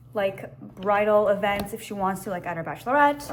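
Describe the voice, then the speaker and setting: Amid noticeable background noise and audible room echo, a woman speaks at a medium pitch with lively intonation. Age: adult. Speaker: lifestyle vlogger. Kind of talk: casual vlog chat. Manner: animated.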